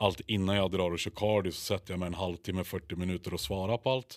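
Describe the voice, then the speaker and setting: In a very clean recording with a silent background and a dry, close sound free of echo, a man talks at a fairly quick pace in a very deep, low voice with monotone, flat intonation. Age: 20s. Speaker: bodybuilder. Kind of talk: casual chat.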